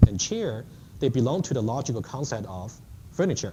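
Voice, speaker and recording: This man's voice sits at a medium pitch, with a dark, mellow tone and a somewhat breathy quality. He talks at a fairly quick pace with lively intonation, and room echo is audible. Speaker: university lecturer. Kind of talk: lecture. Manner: fast.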